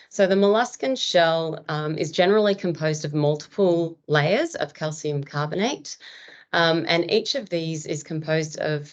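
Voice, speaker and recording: Against a quiet background, a woman talks at a moderate pace in a fairly low pitch with ordinary pitch variation. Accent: Australian. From Australia. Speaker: marine biologist. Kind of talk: lecture. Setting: webinar.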